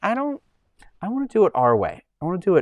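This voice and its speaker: At a fairly quick pace, a man with an American accent speaks in a dry, close sound with no echo. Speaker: live streamer. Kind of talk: casual chat. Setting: live stream.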